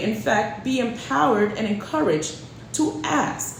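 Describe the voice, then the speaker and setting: Audible room echo and noticeable background noise surround the woman as she speaks. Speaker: real estate agent. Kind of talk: casual chat.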